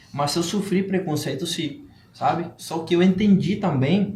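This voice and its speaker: A man's fairly slow, lively speech with a Spanish accent and audible room echo. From Cuba. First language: Spanish (speaking Portuguese). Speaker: entrepreneur. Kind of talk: podcast interview. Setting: live-streamed podcast studio.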